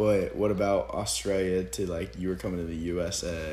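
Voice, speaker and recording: In an American accent, a man with a very deep, low voice and a dark, mellow tone speaks fairly quickly with vocal fry and ordinary pitch variation, and the room echo is audible. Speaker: podcast host, college football player. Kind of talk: casual chat.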